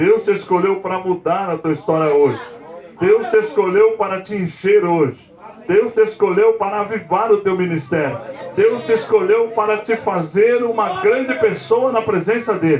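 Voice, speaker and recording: Amid noticeable background noise, a man speaks at a moderate pace in a high pitch with ordinary pitch variation. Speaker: apostle, preacher. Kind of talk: sermon. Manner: soft-spoken.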